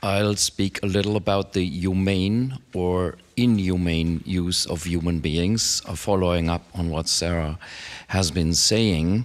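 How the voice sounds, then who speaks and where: With a German accent, a man talks at a fairly slow pace in a very deep, low pitch and fairly even intonation. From Germany, Frankfurt. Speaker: philosophy professor. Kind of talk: academic talk.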